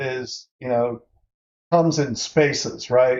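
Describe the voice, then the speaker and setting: Speaking at a fairly slow pace, a man has a medium pitch. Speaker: workshop instructor. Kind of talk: online workshop tutorial. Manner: casual with many fillers.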